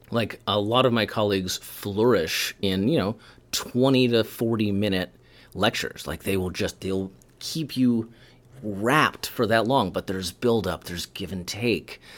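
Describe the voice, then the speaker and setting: An ordinary speaking voice: a man with fairly low pitch and ordinary pitch variation at a fairly slow pace, on a very clean recording with a silent background. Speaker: professor and TikTok educator. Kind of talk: casual interview chat.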